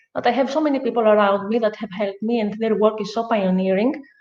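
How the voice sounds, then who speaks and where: A woman of medium pitch with a Greek accent, fairly quick in pace and fairly even in intonation. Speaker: podcast host. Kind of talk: casual chat. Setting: at her guest house estate. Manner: halting, many fillers.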